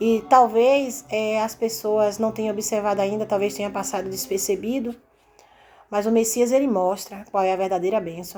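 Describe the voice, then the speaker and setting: A woman at a moderate pace with a fairly high pitch, ordinary pitch variation and a dark, mellow tone. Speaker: religious preacher. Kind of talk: sermon. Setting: recorded video. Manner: casual, conversational.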